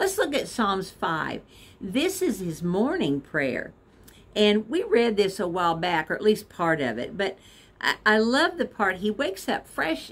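At a fairly slow pace, a woman talks with very wide pitch swings. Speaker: devotional vlogger. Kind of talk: devotional talk with scripture reading. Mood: warm, encouraging. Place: home room. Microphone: phone near.

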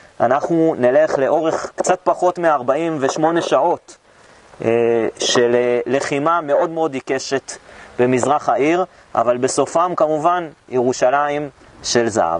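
A man at a very slow pace with ordinary pitch variation and a dry sound with no echo. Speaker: tour guide. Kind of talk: guided tour talk. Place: garden.

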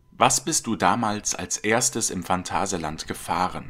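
This is a man talking. The pitch of his voice varies in an ordinary way. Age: 30s. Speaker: channel narrator and trained voice actor. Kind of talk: scripted narration. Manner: formal.

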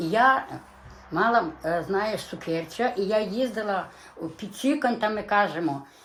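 Over noticeable background noise, a woman with a medium pitch speaks at a fairly slow pace with lively intonation. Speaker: dialect informant. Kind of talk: oral history interview. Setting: dialect field recording. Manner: halting.

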